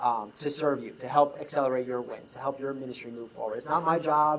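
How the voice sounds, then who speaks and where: Audible room echo surrounds talking delivered at a fairly quick pace. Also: man. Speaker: leadership consultant. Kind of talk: conference talk. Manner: fast.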